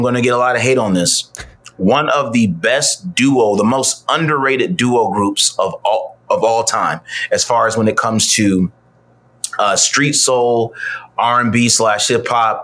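A man speaks at a fairly slow pace in a medium pitch, with ordinary pitch variation, very even loudness, and noticeable background noise. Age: 30s. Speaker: musician. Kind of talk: casual chat.

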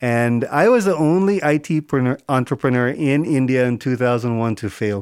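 A man with an American accent talks at a moderate pace and medium pitch, with ordinary pitch variation and hardly any pauses, in an unremarkable speaking voice on a very clean recording with a silent background. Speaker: climate startup accelerator founder. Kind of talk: interview.

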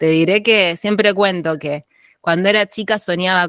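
A woman speaks at a fairly slow pace in an Argentine accent, with a fairly low pitch and ordinary pitch variation. The recording is very clean and dry, close with no echo, over a silent background. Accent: Rioplatense Argentine Spanish. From Argentina, Tandil (Buenos Aires province). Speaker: archaeologist, postdoctoral researcher. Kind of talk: interview.

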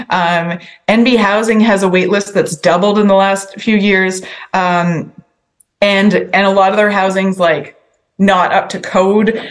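In a Maritime Canadian accent, a woman speaks at a medium pitch with fairly even intonation. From New Brunswick, Canada (Sackville). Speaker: provincial politician. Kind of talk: interview.

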